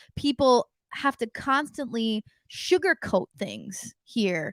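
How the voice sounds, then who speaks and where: In a very clean recording with a silent background, a woman with an American accent speaks at high pitch with lively intonation, the sound dry and close with no echo. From United States. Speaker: podcast host. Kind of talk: interview.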